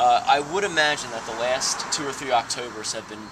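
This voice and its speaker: Against noticeable background noise, a man talks at a fairly quick pace with medium pitch and ordinary pitch variation. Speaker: interviewer. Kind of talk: interview questions.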